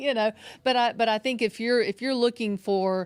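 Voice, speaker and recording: Someone with a Southern US accent speaks at a fairly quick pace on a very clean recording with a silent background. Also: woman. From Mississippi Gulf Coast, US South. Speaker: relationship coach. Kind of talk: casual chat.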